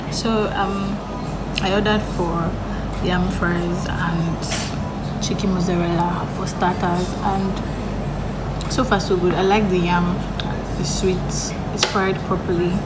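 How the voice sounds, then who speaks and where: Music plays in the background as the voice moves at a very slow pace. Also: woman. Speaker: vlogger reviewing food. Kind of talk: casual vlog chat. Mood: relaxed, friendly. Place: cafe. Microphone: phone near.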